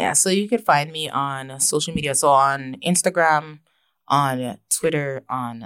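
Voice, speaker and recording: A speaker with a Toronto accent talks with ordinary pitch variation. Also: woman. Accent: Toronto Canadian English. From Canada, Toronto. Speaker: rapper. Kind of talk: interview.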